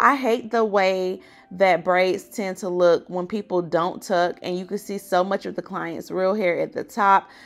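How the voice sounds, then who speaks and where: At a moderate pace, a woman speaks at a medium pitch with music in the background. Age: 20s. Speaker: hair braider and cosmetologist. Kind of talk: tutorial. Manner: animated.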